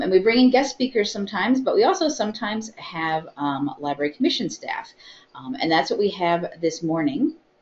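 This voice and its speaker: An American accent at a very fast pace, with very wide pitch swings. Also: woman. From US Midwest. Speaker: library webinar host. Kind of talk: live webinar. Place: meeting room.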